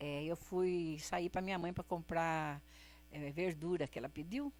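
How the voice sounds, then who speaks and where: Music plays in the background. Over it, a woman speaks at a moderate pace. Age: 70s. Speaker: singer. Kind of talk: interview, casual storytelling.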